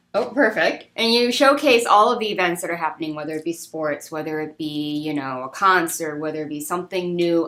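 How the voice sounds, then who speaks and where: Noticeable background noise sits behind this recording. A woman with a very deep, low pitch speaks at a fairly quick pace. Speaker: talk show host. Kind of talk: interview question.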